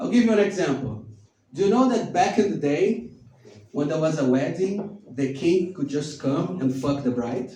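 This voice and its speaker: A man's fairly high voice with a non-native accent, very wide pitch swings and a moderate pace, over noticeable background noise and audible room echo. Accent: foreign. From Brazil. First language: Portuguese. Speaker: stand-up comedian. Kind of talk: stand-up. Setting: stage with audience in a bar.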